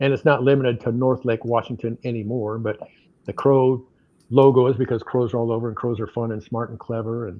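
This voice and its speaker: This man talks at a fairly quick pace in a medium pitch, his intonation monotone and flat. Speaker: financial advisor. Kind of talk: business presentation. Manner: fast.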